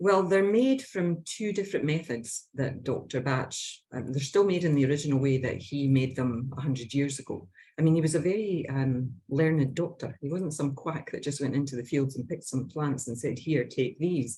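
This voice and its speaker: A woman with a Scottish accent speaks at a moderate pace in a very deep, low pitch. Her tone is dark and mellow, somewhat breathy, with ordinary pitch variation. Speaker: Bach flower practitioner. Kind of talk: casual interview chat.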